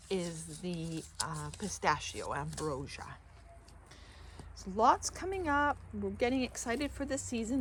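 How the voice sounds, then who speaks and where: At a fairly slow pace, a woman speaks with a Canadian accent. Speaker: gardener. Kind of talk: garden tour walkthrough. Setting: outdoors in garden. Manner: casual, self-correcting.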